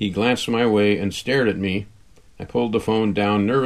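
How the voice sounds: Fairly even intonation in a natural voice reading aloud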